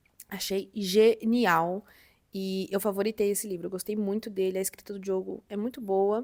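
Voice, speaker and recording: In a very clean recording with a silent background, a woman uses a normal speaking voice at a medium pitch, with fairly even intonation and a moderate pace. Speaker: book youtuber. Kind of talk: casual vlog chat.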